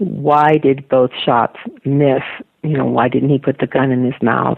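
A woman speaks at a very slow pace. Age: 80s+. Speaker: author and retired mental health educator. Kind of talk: interview.

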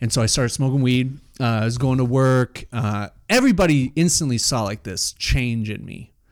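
At a moderate pace, a normal speaking voice shows ordinary pitch variation. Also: man, medium pitch for a man. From Utah (Salt Lake City). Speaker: personal development facilitator. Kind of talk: casual interview chat, personal story.

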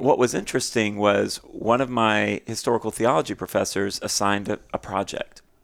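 A plain, everyday voice at a moderate pace with fairly even intonation, on a very clean recording with a silent background. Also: man. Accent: American. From Texas. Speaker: nonprofit founder and author. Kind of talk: casual chat.

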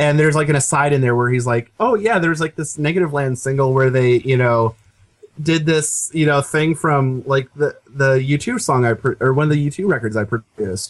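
A man with an American accent and an unremarkable speaking voice, fairly high in pitch, at a fairly quick pace with ordinary pitch variation and very even loudness. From Seattle, US Pacific Northwest. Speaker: music podcast co-host. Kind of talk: casual chat.

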